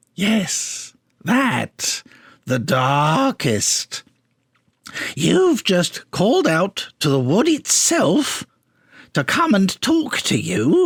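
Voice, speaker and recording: A man puts on a character voice, high-pitched and very slow, with long, frequent pauses. The recording is very clean, with a silent background. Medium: read story. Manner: offhand, casual.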